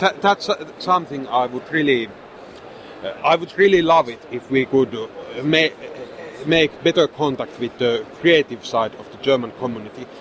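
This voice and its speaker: Against noticeable background noise, a man with a Finnish accent speaks at a moderate pace in a fairly high pitch, with ordinary pitch variation, big swings in loudness and long, frequent pauses. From Finland. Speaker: game designer and publisher. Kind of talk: convention interview. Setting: convention booth. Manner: hesitant, frequent repetitions.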